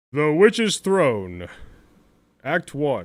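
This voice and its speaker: In a very clean recording with a silent background, a man does a put-on character voice at fairly high pitch with very wide pitch swings. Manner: dramatic, announcer-like.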